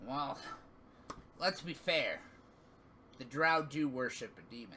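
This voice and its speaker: A man uses a put-on character voice at a fairly high pitch and fairly slow pace, with ordinary pitch variation. His loudness swings widely, over clear background noise. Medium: actual play. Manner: wry, knowing.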